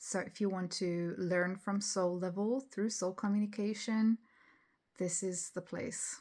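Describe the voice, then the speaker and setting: Fairly slow and fairly even in intonation, a woman with a non-native accent speaks at medium pitch on a very clean recording with a silent background. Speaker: spiritual channel host. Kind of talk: casual talk to camera. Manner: hesitant, many fillers.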